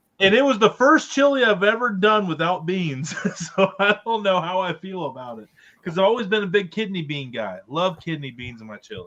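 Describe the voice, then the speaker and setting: Bright and sharp in tone, a man with an Ohio accent speaks at a high pitch, his pitch swinging very widely and his loudness shifting a great deal. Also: fairly quick pace. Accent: Ohio American. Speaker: podcast co-host. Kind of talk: casual chat. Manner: animated.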